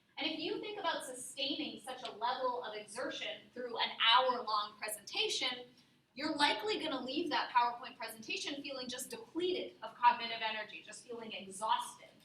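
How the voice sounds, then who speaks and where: A woman with a high voice talks at a fairly quick clip with hardly any pauses, her animated tone and lively intonation carrying big swings in loudness over noticeable background noise and audible room echo. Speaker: university workshop presenter. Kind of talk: workshop presentation. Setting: classroom with live audience.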